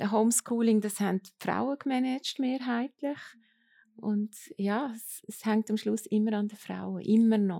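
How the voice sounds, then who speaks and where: A woman's fairly high voice with a dark, mellow tone, fairly even intonation, big swings in loudness and a fairly slow pace, in a dry, close sound with no echo. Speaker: copywriter and lecturer. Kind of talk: panel discussion.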